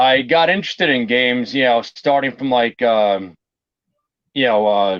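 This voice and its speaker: A man talks at a moderate pace with a New York accent. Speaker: board game collector and YouTuber. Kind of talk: interview. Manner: casual, lots of fillers.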